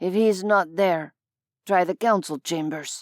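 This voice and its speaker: On a very clean recording with a silent background, a female-sounding, gruff put-on character voice at middle pitch speaks fairly slowly. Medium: read story.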